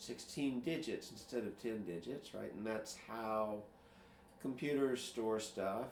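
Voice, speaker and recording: A man's medium-pitched voice, fairly slow and relaxed, with ordinary pitch variation and audible room echo. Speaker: programmer sharing screen. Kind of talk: casual screen-share tutorial. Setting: screen recording at computer. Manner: relaxed, hesitant with fillers.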